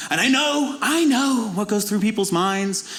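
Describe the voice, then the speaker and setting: A high-pitched man with a Zimbabwean accent and ordinary pitch variation, amid noticeable background noise and audible room echo. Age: 20s. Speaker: comedian. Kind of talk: stand-up.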